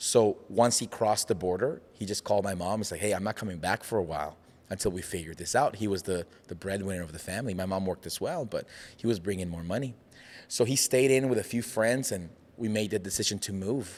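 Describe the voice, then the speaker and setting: The recording is very clean, with a silent background. A man with a slight Mexican accent talks at a very fast pace, his fairly low pitch varying in an ordinary way. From Mexico. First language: Spanish. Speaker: pastor and entrepreneur. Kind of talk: casual interview chat. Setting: studio.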